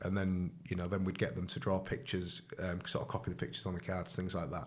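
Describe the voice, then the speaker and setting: Speaking with a northern English accent, a man delivers his words at a fairly quick pace in a very deep, low pitch. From northern England. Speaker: charity volunteer. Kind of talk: casual interview. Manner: hesitant, many fillers.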